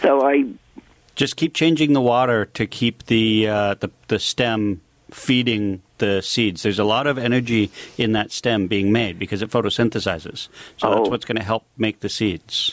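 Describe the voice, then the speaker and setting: In a Canadian accent, a man with a normal speaking voice talks at a moderate pace at a medium pitch with ordinary pitch variation, the sound dry and close with no echo. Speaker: landscaper. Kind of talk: radio call-in advice. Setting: studio.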